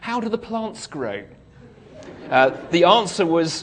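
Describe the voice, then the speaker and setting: A high-pitched man with a British accent, very wide pitch swings and a moderate pace, plus noticeable background noise and audible room echo. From UK. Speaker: speaker. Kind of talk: talk to an audience. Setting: stage with audience. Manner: humorous, conversational.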